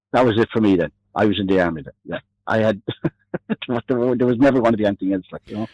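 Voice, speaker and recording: A man with an Irish accent at a very fast pace, fairly low in pitch with ordinary pitch variation, big swings in loudness, long and frequent pauses, and a dry, close sound with no echo. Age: 60s. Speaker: army veteran. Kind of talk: phone interview. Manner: halting. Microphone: delay on the line.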